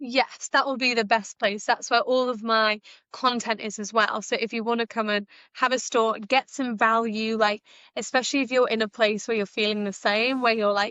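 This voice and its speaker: Monotone, flat delivery at a moderate pace, in a British accent. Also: woman, fairly high pitch for a woman. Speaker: entrepreneur and business mentor. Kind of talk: interview podcast. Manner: engaging, uplifting.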